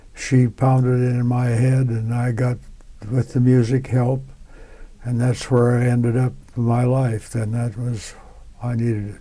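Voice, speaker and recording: A man with a US Midwestern accent speaks at a medium pitch with a dark, mellow, somewhat breathy tone. His intonation is monotone and flat, his pace fairly slow, with long, frequent pauses. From Nebraska, US Midwest. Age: 90s. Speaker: World War II civilian worker veteran. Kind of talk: oral history interview. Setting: museum.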